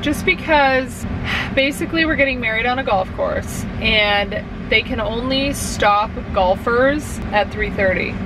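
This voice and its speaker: A woman's voice comes through with noticeable background noise and a dry sound with no echo. Her pitch varies in an ordinary way. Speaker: vlogger. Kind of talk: casual vlog chat. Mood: chatty, slightly worried. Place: car. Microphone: phone near.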